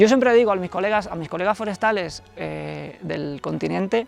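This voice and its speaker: Moderate pace, with a Galician accent. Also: man. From Galicia, Spain. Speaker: forester. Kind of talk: interview.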